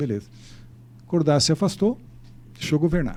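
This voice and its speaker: Somewhat breathy and dark, mellow in tone, a man's voice moves at a fairly quick pace. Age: 70s. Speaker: mayor. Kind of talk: interview. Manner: halting.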